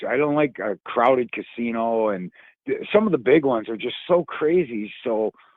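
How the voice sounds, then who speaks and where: Very wide pitch swings at a moderate pace, in an American accent. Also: man. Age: 60s. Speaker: stand-up comedian. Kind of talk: casual chat. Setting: phone call.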